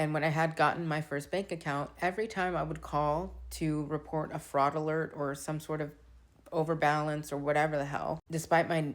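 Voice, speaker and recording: A woman speaks with a very deep, low pitch. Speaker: social media creator. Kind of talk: casual vlog monologue. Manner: conversational, filler-heavy.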